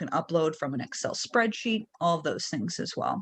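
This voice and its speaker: A woman talks in a normal speaking voice at a moderate pace. Her pitch is fairly low and varies in an ordinary way. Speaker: real estate trainer. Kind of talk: tutorial. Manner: casual with fillers.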